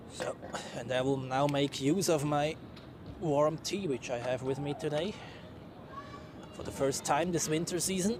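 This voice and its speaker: Over noticeable background noise, a fairly high-pitched man with a Swiss German accent, ordinary pitch variation, a moderate pace, and long, frequent pauses. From Switzerland. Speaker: plane spotting livestreamer. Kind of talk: live commentary. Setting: outdoors. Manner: casual, chatty.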